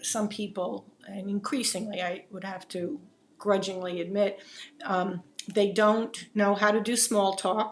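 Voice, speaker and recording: Noticeable background noise behind a woman with a New Jersey accent, medium in pitch, fairly slow, with fairly even intonation. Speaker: videocast host. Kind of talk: interview conversation.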